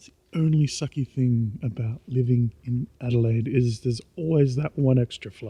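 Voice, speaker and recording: Somewhat breathy and dark, mellow in tone, a man speaks with ordinary pitch variation in a dry, close sound with no echo. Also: medium pitch for a man, moderate pace, big swings in loudness. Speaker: vlogger. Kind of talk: casual vlog monologue. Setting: outdoors, walking at night. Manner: quiet; rambling with many fillers. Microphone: poor recording quality.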